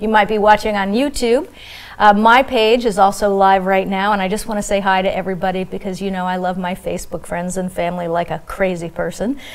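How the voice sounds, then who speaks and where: Noticeable background noise fills the clip. Over it, a woman speaks at a fairly quick pace. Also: medium pitch for a woman. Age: 60s. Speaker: hypnotherapist and former soap opera actress. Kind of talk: live talk show interview. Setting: TV studio. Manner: animated.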